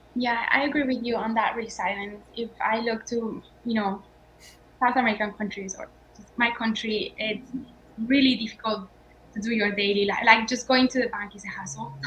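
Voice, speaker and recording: A woman speaks with a Colombian accent and a fairly high pitch. Her intonation stays fairly even. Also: moderate pace, big swings in loudness. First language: Spanish. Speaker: startup founder. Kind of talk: panel discussion.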